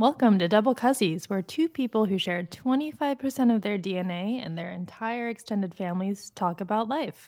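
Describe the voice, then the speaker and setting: In an American accent, a woman with a normal speaking voice talks at a fairly quick pace with hardly any pauses. Her medium pitch moves with lively intonation. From Phoenix, Arizona. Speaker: podcast co-host. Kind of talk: casual chat.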